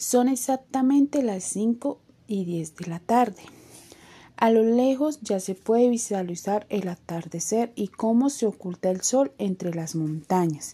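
Slow-ish and somewhat breathy, the voice moves at a fairly slow pace. Its tone is dark and mellow, and the intonation is lively. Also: woman, fairly high pitch for a woman. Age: 20s. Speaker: university student. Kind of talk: scripted narration.

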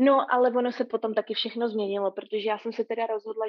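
A woman with a fairly high pitch rattles along at a very fast pace in a flat monotone. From Prague, Czechia. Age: 30s. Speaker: long-distance hiker. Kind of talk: casual interview. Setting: remote call.

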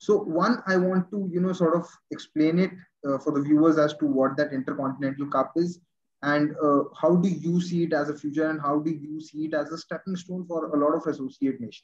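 A man's plain, everyday voice at a fairly high pitch, with a fairly quick pace and fairly even intonation. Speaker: podcast host. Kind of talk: interview chat.

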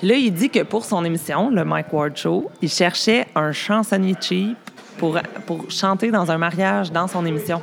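Against noticeable background noise, a woman with a fairly low pitch talks at a fairly slow pace, with ordinary pitch variation and very even loudness. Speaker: hairdresser. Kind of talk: casual chat. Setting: cabaret bar.

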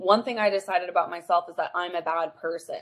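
A woman talks in a normal speaking voice at a fairly low pitch and a fairly quick pace. Her intonation is fairly even. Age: 20s. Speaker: relationship and breakup coach. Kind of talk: casual chat.

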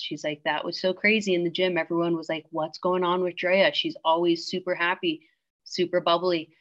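In a plain, everyday voice, a woman speaks at a moderate pace with fairly low pitch and fairly even intonation. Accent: American. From Washington State, US. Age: 30s. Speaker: hunting guide and author. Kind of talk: interview.

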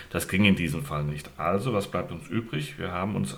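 A man with a very deep, low voice speaks at a fairly quick pace with ordinary pitch variation, amid audible room echo and noticeable background noise. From Hesse, Gießen. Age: 50s. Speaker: local party candidate. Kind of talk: casual interview.

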